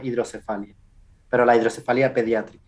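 The speaker is a man at a medium pitch. His intonation is monotone and flat. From Canary Islands, Spain. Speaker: scientist. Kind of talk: interview.

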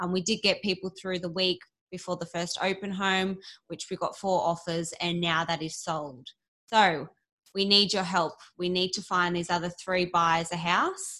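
With an Australian accent, a woman speaks at a fairly low pitch in a bright, sharp tone and a monotone, flat intonation. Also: moderate pace. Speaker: real estate agent, podcast co-host. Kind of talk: property listing rundown.

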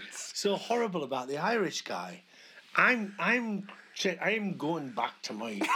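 Over noticeable background noise, a man with a high voice speaks at a fairly slow pace, his pitch swinging very widely. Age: 50s. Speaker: podcast co-host. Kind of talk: casual chat. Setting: at home, in a small room.

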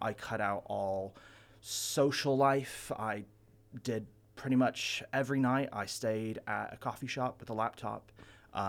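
The recording is very clean, with a silent background. A man talks fairly slowly with ordinary pitch variation. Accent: American. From Ventura, California. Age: 20s. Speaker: comic book shop owner. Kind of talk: radio interview.

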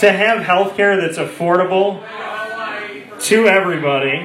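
A man speaks at a fairly slow pace with a high pitch and a fairly bright tone. His pitch varies in an ordinary way, and the room echo is audible.

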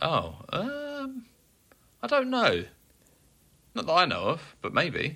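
Speaking very slowly with long, frequent pauses, a man talks in an English accent. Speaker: metal podcast co-host. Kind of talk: casual chat.

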